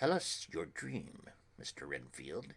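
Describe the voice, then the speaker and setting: A raspy, put-on character voice is heard here. It moves at a fairly slow pace. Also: man. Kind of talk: quiet, grave. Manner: gentle, solemn.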